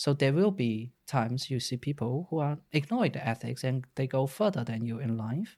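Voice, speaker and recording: This man speaks with a Chinese accent at medium pitch. His voice is somewhat breathy, with lively intonation. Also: very clean recording, silent background. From China. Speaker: data science podcast co-host. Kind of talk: casual discussion.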